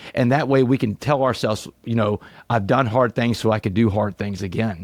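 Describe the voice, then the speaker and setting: A man speaks at a fairly quick pace in a normal speaking voice, medium in pitch, with an American accent. The recording is very clean with a silent background and a dry, close sound with no echo. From Southeast Texas. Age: 40s. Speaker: motivational speaker, former prisoner. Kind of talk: podcast interview.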